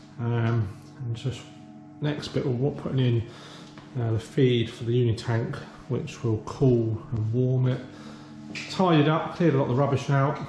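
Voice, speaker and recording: A man talks at a moderate pace with fairly even intonation and long, frequent pauses. There is audible room echo and light background noise. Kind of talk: casual vlog chat. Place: workshop. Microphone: phone near.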